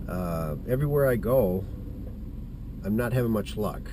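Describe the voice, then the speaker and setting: Over noticeable background noise and audible room echo, a man speaks fairly slowly at a medium pitch, his voice making very wide pitch swings. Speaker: hunting vlogger. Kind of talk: casual vlog monologue. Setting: outdoors in the woods. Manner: halting.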